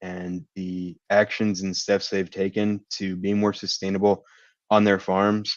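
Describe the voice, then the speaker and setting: A man with an American accent speaks at a very slow pace in a fairly low, monotone, flat voice. The sound is dry and close with no echo, over a quiet background. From Kentucky, US. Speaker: agribusiness sustainability lead. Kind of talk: webinar presentation.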